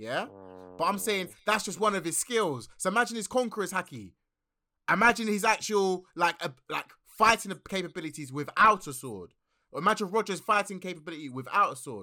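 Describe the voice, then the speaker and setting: In a raised, projected voice, a man talks fairly quickly with a high pitch and an animated, bright, sharp tone. The recording is very clean, with a silent background. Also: lively intonation, big swings in loudness. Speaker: podcast host. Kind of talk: casual chat about anime. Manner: animated, excitable.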